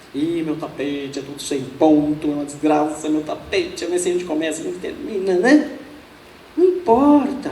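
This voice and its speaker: Her pitch swinging very widely, a woman speaks at a moderate pace amid audible room echo and noticeable background noise. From Brazil, São Paulo. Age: 60s. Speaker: Buddhist nun, speaker. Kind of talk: lecture. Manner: casual, humorous.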